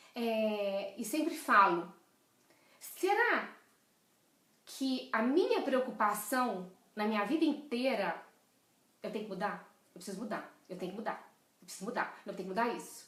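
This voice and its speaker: A woman's fairly high, animated voice with lively intonation, big swings in loudness, long and frequent pauses, audible room echo, and noticeable background noise. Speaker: leadership coach. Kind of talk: live stream talk. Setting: live video stream. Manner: fast.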